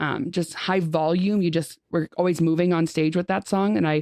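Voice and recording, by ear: At a moderate pace, a woman speaks with fairly low pitch, a slightly mellow tone and fairly even intonation in a dry, close sound with no echo.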